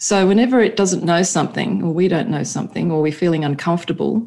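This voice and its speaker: Speaking in an Australian accent, this woman has a fairly low pitch. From Sydney, Australia. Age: 50s. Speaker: neuropsychologist and leadership coach. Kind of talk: podcast interview.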